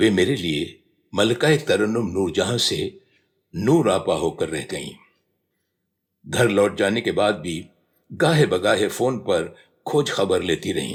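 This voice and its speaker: On a very clean recording with a silent background, a man with a medium pitch and a somewhat breathy voice swings his pitch very widely and takes long, frequent pauses. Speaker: radio announcer. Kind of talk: autobiography reading.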